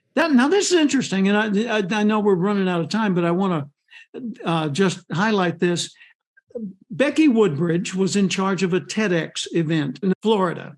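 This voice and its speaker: A man's high-pitched voice at a moderate pace, with lively intonation. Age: 70s. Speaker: speaker and author. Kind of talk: interview. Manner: animated.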